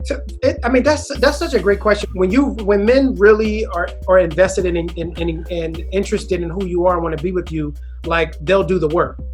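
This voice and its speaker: A man with an American accent at a fairly quick pace, music playing in the background. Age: 30s. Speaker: comedian. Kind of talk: casual podcast interview.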